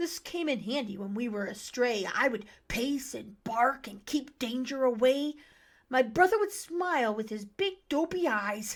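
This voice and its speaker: A female-sounding, put-on character voice at a high pitch for a woman moves at a moderate pace on a very clean recording with a silent background. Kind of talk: rhyming children's story reading. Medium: read story. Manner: warm, gentle.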